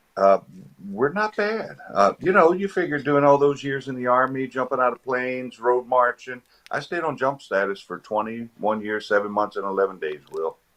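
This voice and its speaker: This is a normal speaking voice from a man with an American accent, set at medium pitch. He moves at a moderate pace with lively intonation. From Virginia, Eastern Shore. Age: 50s. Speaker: retired army veteran. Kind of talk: casual interview chat.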